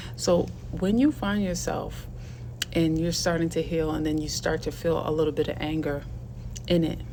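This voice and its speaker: Amid audible room echo, a woman talks at a moderate pace with long, frequent pauses. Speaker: video blogger and teacher. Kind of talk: casual vlog monologue.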